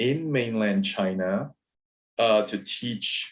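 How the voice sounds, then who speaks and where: A man's medium-pitched voice in a Cantonese accent, with ordinary pitch variation. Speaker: professor and moderator. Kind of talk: webinar discussion. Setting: video call.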